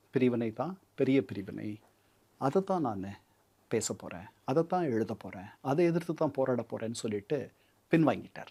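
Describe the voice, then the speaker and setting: A man with a dark, mellow tone and a medium pitch, with lively intonation and big swings in loudness. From Chennai, Tamil Nadu. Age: 60s. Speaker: retired UN political officer and author. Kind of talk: interview.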